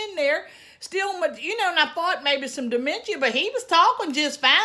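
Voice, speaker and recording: In a strong Southern US accent, a woman speaks at a moderate pace with a raised, projected voice, an animated tone, lively intonation and a bright, sharp tone. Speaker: lifestyle vlogger. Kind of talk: storytelling.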